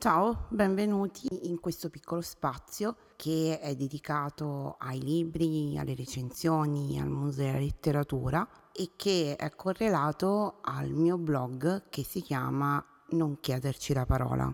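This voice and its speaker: This woman's pitch is very deep and low. She speaks at a very slow pace. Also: ordinary pitch variation. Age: 30s. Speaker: book blogger and podcaster. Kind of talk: solo monologue introducing podcast.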